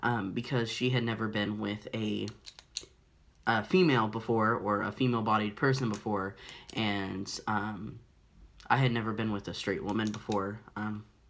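Fairly low in pitch, a man talks with fairly even intonation. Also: moderate pace. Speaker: vlogger. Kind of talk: personal vlog storytelling. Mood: reflective, candid. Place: home room. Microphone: phone near.

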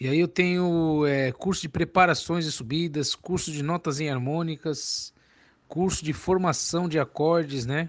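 A normal speaking voice goes at a fairly slow pace with fairly even intonation. The background is quiet. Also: man, fairly high pitch for a man. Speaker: music teacher selling cavaquinho and banjo courses. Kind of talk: sales pitch. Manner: casual, chatty, repeats filler tags like "né" and "entendeu".

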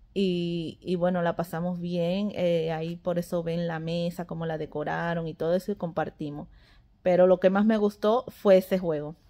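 A woman with a dark, mellow tone speaks in a monotone, flat intonation at a moderate pace. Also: fairly low pitch for a woman. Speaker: family vlogger. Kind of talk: casual vlog chat. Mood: cheerful, amused. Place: home room. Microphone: phone near.

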